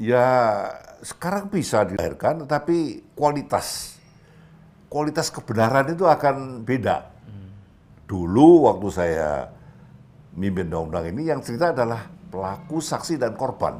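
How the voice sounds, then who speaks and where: Speaking at a fairly slow pace, a man makes very wide pitch swings. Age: 80s+. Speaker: retired police general. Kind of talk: interview answer. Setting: at home.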